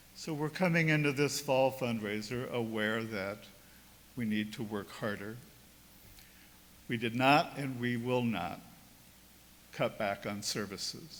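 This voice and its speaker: A man at a medium pitch, with ordinary pitch variation, long and frequent pauses, and audible room echo. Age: 70s. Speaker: priest. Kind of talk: sermon.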